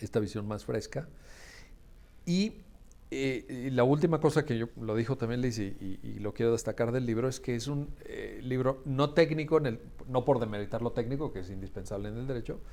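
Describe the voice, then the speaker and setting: At a medium pitch, a man speaks at a moderate pace with ordinary pitch variation. His tone is dark and mellow. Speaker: law school founder and event host. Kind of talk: book presentation closing remarks.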